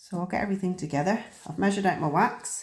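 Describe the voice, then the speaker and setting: A woman speaks at a fairly quick pace, somewhat breathy. Her pitch varies in an ordinary way. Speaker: crafting youtuber. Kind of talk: tutorial. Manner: casual, hesitant with fillers.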